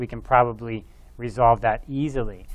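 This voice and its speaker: At a moderate pace, a man talks while faint music sits in the background. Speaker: university professor. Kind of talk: lecture. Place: studio.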